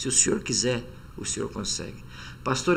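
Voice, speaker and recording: A man speaks with vocal fry. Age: 60s. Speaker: Hebrew professor and reverend. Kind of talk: podcast interview.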